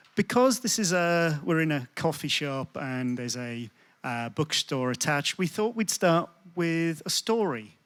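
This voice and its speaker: On a very clean, dry, close recording with a silent background and no echo, a man with a fairly high pitch speaks at a fairly slow pace, his pitch swinging very widely. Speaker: sociology lecturer. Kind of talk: public talk. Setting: coffee shop event with audience.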